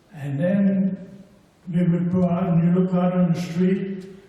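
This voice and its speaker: Noticeable background noise and audible room echo surround a man's voice. He speaks at a high pitch and a very slow pace. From Germany, Mannheim. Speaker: former paratrooper, war witness. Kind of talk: personal testimony. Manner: unprepared.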